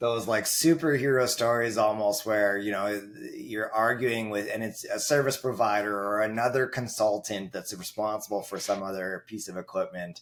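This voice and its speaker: A man speaks in a normal speaking voice, fairly low in pitch, with fairly even intonation. He keeps a moderate pace with hardly any pauses. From Canada. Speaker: network engineer. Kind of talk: casual chat.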